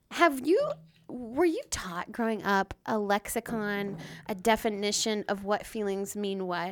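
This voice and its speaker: At a fairly slow pace, a woman with an American accent speaks at a medium pitch in an animated tone with ordinary pitch variation, on a very clean recording with a silent background. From US South, small-town Florida. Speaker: podcast co-host. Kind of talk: casual chat. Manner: animated, laughing.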